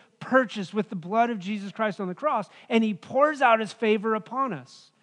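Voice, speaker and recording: A high-pitched man with an American accent and ordinary pitch variation. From Wyoming, US. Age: 40s. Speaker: pastor. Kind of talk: Sunday sermon, conversational pulpit preaching interleaved with scripture reading. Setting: church service with congregation. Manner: casual, chatty delivery with frequent fillers and restarts; earnest, gently emphatic teaching tone.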